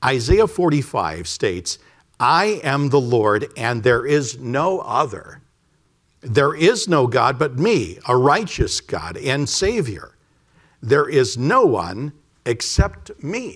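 Over a quiet background, a man speaks very slowly with vocal fry. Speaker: pastor. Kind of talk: sermon. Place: church.

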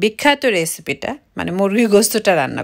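Against a quiet background, a woman uses an ordinary speaking voice at a medium pitch. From Bangladesh. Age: 30s. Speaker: family vlogger. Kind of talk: vlog narration. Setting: at home. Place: kitchen.

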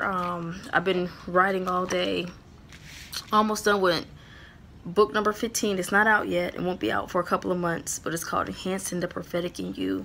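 A woman with a bright, sharp tone speaks at a moderate pace. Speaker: ministry vlogger. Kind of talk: casual vlog chat. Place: home room. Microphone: phone near.

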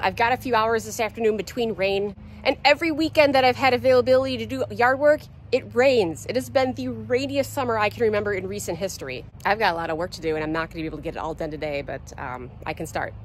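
Over light background noise with a dry, echo-free sound, a woman talks very fast with vocal fry, very wide pitch swings and big swings in loudness. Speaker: backyard farm vlogger. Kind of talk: casual vlog chat. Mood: wry, humorous complaining. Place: garden. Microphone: phone near.

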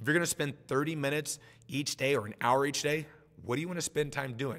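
Talking at a very fast pace, a man with a fairly high voice and an American accent uses ordinary pitch variation. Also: quiet background. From Nebraska, US Midwest. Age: 40s. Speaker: martial arts instructor. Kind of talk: motivational talk. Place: home room. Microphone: webcam.

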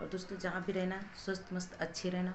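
A fast-speaking woman with a fairly low pitch and little pitch movement, over clear background noise.

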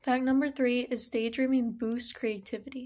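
A woman talks at a moderate pace in an upbeat tone, her pitch high for a woman. The background is quiet. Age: young. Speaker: psychology student, educational content creator. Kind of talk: casual educational talk to camera. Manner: friendly, upbeat. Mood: friendly, upbeat. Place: home room. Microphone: phone near.

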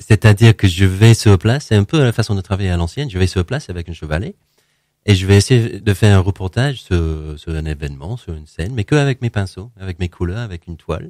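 A man with a fairly low voice and a dark, mellow tone speaks at a very fast pace with lively intonation, the sound dry with no echo. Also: quiet background. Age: 40s. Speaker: painter; interview guest. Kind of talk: interview. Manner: halting, many repetitions and hesitations. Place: studio.

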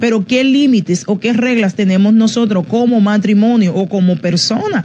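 Against light background noise, a woman speaks at a moderate pace. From Dominican Republic. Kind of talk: teaching on parenting, broadcast live. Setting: radio and Facebook Live broadcast. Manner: informal, halting with fillers. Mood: calm, instructive. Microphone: phone near.

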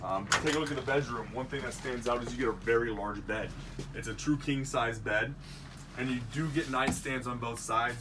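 There is loud background noise behind the speaker. A man talks at a moderate pace. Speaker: salesperson. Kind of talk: product walkthrough. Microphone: camera far.

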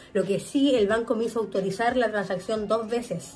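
Over faint music in the background, a woman talks at a fairly quick pace with fairly even intonation. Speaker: vlogger. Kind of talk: casual vlog chat, storytelling. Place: home room. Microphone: phone near.

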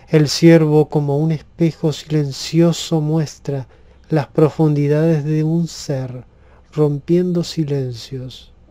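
Very slowly, a man speaks in a flat monotone at a fairly high pitch, his dark, mellow tone sounding soothing. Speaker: poet reading own poem. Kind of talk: poetry reading aloud, calm and relaxing. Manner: slow, soft-spoken, soothing.

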